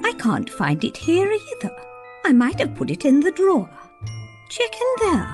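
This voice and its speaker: A put-on character voice speaks at a high pitch and a moderate pace. Clear music plays in the background. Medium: read story. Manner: warm, chatty, encouraging.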